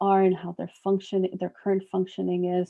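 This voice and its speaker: At a moderate pace, a soft-spoken woman talks in a medium pitch with monotone, flat intonation. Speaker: psychologist. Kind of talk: workshop lecture.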